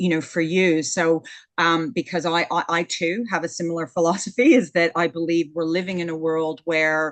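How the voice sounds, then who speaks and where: Against a quiet background, a woman speaks at a moderate pace in a fairly low voice with fairly even intonation. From Canada. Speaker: podcast host. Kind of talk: interview. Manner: halting, many fillers.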